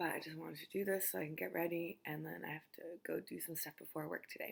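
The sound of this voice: A raspy, very deep, low-pitched woman's put-on character voice at a very fast pace.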